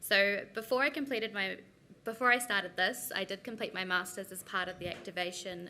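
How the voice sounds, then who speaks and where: With a New Zealand accent, a woman speaks at medium pitch and a moderate pace, her bright, sharp tone showing ordinary pitch variation. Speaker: researcher. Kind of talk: conference presentation.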